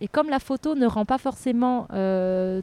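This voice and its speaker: A woman speaks in a dark, mellow tone. The sound is dry and close with no echo, on a very clean recording with a silent background. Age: 40s. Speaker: archaeologist. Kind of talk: interview conversation. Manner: animated.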